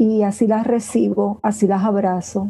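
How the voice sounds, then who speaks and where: This woman has a dark, mellow tone at medium pitch. Her voice is somewhat breathy. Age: 60s. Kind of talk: interview.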